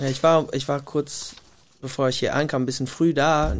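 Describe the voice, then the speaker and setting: Talking at a fairly quick pace, a man with a fairly high pitch keeps his intonation monotone and flat. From US Pacific Northwest, Gig Harbor near Tacoma. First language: English (speaking German). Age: 30s. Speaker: singer-songwriter. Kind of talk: casual interview. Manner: halting, pauses to find words.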